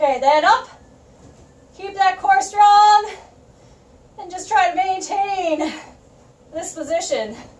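Very slow pace from a woman, extremely high pitch with ordinary pitch variation, big swings in loudness and audible room echo. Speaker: fitness instructor. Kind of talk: workout instruction. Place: empty room. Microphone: camera far.

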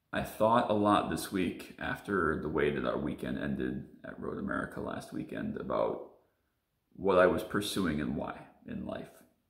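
A man at a moderate pace, with audible room echo over a quiet background. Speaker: sim racer vlogger. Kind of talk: personal confessional vlog. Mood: serious, reflective. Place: home room. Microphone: phone near.

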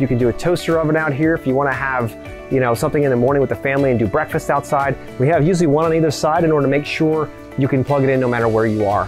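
Clear music plays in the background. A man talks at a very fast pace. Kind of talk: walkthrough tutorial. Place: garden.

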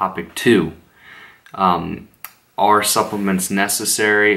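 This man talks in a quiet voice. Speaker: fitness vlogger. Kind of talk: casual vlog talk. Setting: at home late at night. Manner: quiet, subdued. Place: home room. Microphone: phone near.

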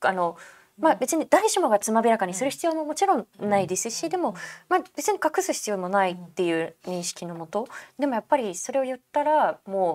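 Her pitch is fairly high and swings very widely as the woman talks at a fairly quick pace. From Japan. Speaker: photojournalist. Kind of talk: interview. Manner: calm, matter-of-fact. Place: studio. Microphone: lapel.

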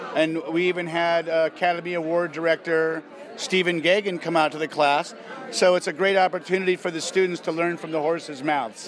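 With noticeable background noise but a dry sound with no echo, a man talks at a moderate pace in a high pitch with fairly even intonation. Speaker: actor being interviewed. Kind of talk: interview answer. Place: hall.

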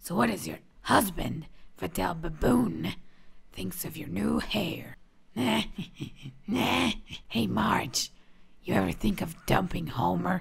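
In a cartoonish character voice, a woman speaks with a very deep, low pitch and very wide pitch swings, moving at a fairly slow pace with long, frequent pauses. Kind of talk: cartoon voice impression. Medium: solo performance.

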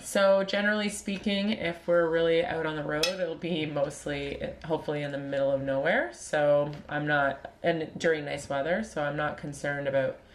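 Noticeable background noise surrounds a woman speaking at a very deep, low pitch. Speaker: vlogger. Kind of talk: casual Q&A chat. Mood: playful, laughing. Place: home room. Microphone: webcam.

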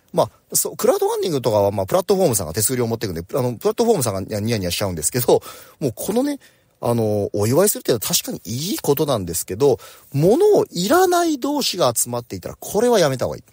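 A man talks at a very fast pace, recorded with a dry, close sound with no echo. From Japan, Oita Prefecture. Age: 40s. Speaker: company president. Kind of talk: morning talk monologue. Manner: casual.

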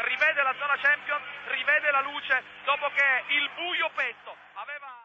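Over light background noise, a man talks in an extremely high pitch. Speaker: football commentator. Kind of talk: live sports commentary. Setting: stadium commentary over match footage. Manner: fast, breathless, excitable play-by-play with rising shouts on goals. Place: booth.

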